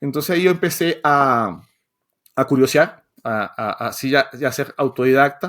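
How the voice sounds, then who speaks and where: Here a man talks at a fairly slow pace in a fairly high voice with ordinary pitch variation. The recording is very clean and the background silent. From Venezuela. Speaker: software developer and educator. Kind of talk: podcast interview. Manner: halting, many repetitions.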